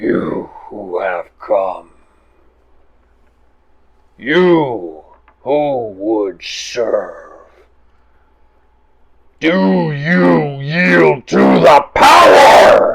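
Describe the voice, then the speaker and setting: A man puts on a raspy, guttural character voice at a medium pitch. He speaks at a very slow pace, with long, frequent pauses. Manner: ominous.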